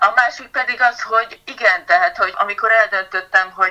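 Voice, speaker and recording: Bright, sharp tone from a woman, her pitch varying in an ordinary way. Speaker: patient advocate with a rare disease. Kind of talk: interview.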